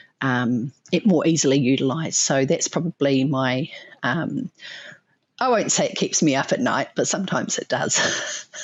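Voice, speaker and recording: With a New Zealand accent, a woman speaks with lively intonation at a very deep, low pitch. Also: moderate pace. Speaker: animal nutrition scientist. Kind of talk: interview. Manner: hesitant, many fillers.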